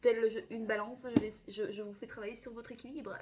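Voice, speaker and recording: Her voice is animated, medium in pitch for a woman, and moves at a fairly quick pace. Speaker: tarot reader. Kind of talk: astrology reading. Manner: fast.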